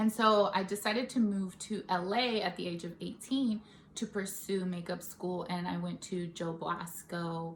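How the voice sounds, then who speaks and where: Amid noticeable background noise, a woman with a Bay Area accent talks at a medium pitch. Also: fairly even intonation, fairly slow pace. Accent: Bay Area flavor. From California, Stockton. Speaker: makeup artist and beauty vlogger. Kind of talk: casual vlog chat. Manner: casual, with many fillers.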